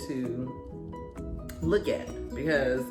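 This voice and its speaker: Behind the voice, music plays. The speaker is a woman. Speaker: daughter hosting a mother-daughter conversation series. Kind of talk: casual conversation talk show host.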